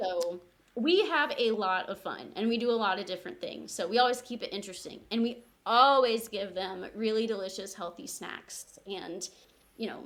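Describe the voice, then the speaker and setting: Here a woman talks at a moderate pace with ordinary pitch variation. Her voice, fairly high in pitch, is a plain, everyday voice. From Missouri, Springfield. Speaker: community garden organization staff. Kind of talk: podcast interview.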